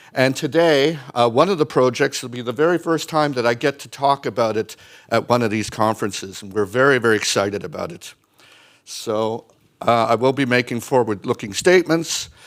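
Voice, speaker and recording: In an unremarkable speaking voice, a man talks at a medium pitch and a fairly quick pace, with ordinary pitch variation and big swings in loudness. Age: 60s. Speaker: mining company executive. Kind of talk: conference presentation.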